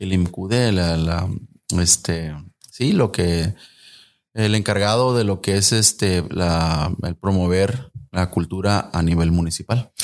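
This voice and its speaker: The delivery is very slow. Nothing can be heard behind the voice in this very clean recording. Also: man, very deep, low pitch for a man, ordinary pitch variation. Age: 40s. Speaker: musician and communications graduate. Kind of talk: casual interview.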